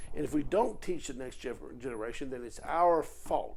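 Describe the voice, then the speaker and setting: A man talks with a Virginia accent. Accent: Virginia Southern US. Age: 60s. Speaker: political commentator. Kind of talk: political monologue video. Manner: animated.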